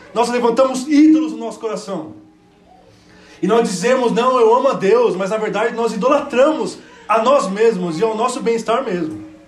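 Against noticeable background noise and audible room echo, a man speaks at an extremely high pitch. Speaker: preacher. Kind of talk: sermon. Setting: church.

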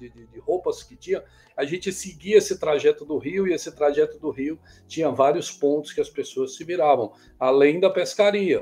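The man talks at a moderate pace. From Bom Jardim, Brazil. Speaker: musician and composer. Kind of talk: interview.

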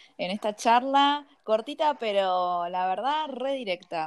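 The recording is very clean, with a silent background. A woman with a Rioplatense accent speaks at a medium pitch with lively intonation. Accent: Argentine Rioplatense Spanish. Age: 20s. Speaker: podcast host. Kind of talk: interview.

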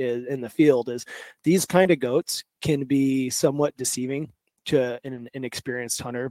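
In an American accent, a man talks at a medium pitch with a dark, mellow tone and fairly even intonation, the sound dry and close with no echo. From Kansas, US. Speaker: mountain goat hunter, conservation board member. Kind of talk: livestream presentation.

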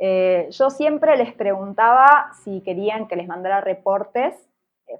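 Using a normal speaking voice, a woman talks at a fairly slow pace with lively intonation. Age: 30s. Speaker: traveling pet sitter. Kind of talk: interview testimony.

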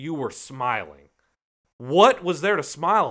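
At a moderate pace, a man speaks in a bright, sharp tone with very wide pitch swings. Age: 30s. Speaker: football fan. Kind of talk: casual chat.

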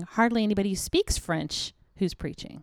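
A woman with an unremarkable speaking voice talks at a medium pitch and a fairly quick pace. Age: 40s. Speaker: missionary and podcast co-host. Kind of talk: casual chat.

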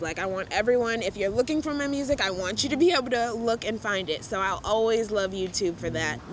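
A woman with an ordinary speaking voice, a fairly high pitch, lively intonation, a fairly quick pace, and hardly any pauses. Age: 20s. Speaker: singer-songwriter. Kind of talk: casual chat. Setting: outdoors.

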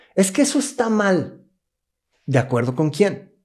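A man's dark, mellow tone comes at a fairly slow pace. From Mexico City, moved to Querétaro at 16. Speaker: business coach and NLP trainer. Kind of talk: interview.

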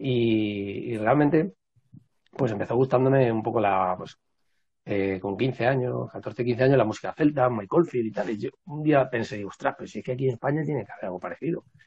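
A man speaks at a moderate pace and medium pitch, somewhat breathy, with ordinary pitch variation. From Madrid, Spain. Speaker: traditional music researcher and musician. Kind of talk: casual interview. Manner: halting.

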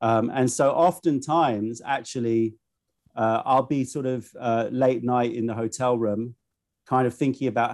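This is a plain, everyday voice. The man speaks at a medium pitch with fairly even intonation. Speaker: tea vendor and YouTuber. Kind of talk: casual interview chat. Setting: video call.

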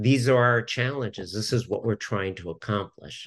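A man's plain, everyday voice at a medium pitch and moderate pace, over a quiet background. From Southern California. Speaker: business development consultant. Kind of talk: casual interview.

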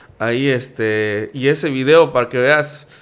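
A man talks at a medium pitch. His pace is very slow. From Mexico, Campeche. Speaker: food reviewer and youtuber. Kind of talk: casual chat.

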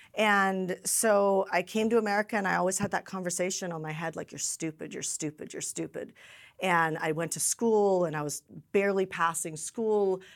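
In an unremarkable speaking voice at medium pitch, a woman talks at a moderate pace with fairly even intonation and big swings in loudness, recorded very cleanly against a silent background. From Canada. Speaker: event host and business coach. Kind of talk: interview conversation.

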